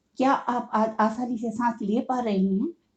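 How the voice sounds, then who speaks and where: The woman's voice is somewhat breathy. It sits at a fairly high pitch. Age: 60s. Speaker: COPD patient and awareness podcaster. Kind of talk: motivational monologue.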